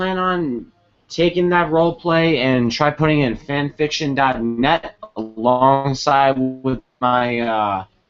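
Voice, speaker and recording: Over music in the background, a man talks at a very slow pace with a fairly high pitch and ordinary pitch variation. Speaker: gaming video creator. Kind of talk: casual commentary showing game characters.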